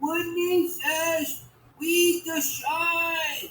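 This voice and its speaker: This is a put-on character voice. It sounds squeaky, with an extremely high pitch. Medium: read story.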